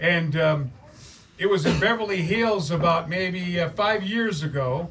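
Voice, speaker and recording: A high-pitched man with ordinary pitch variation amid noticeable background noise. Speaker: street preacher. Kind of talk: casual storytelling to an audience. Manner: conversational, folksy, earnest.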